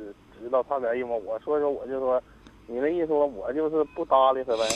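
A man talks in a fairly high pitch that shifts in an ordinary way. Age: 50s. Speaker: radio caller. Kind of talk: phone-in conversation. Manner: halting.

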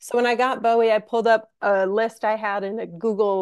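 A woman with an American accent has a normal speaking voice, pitched fairly high. Her intonation stays fairly even at a moderate pace. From Minnesota. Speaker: concert production manager. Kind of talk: casual interview chat.

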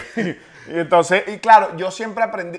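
A man is talking. His delivery moves at a fairly quick pace. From Venezuela. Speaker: comedian. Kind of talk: casual chat.

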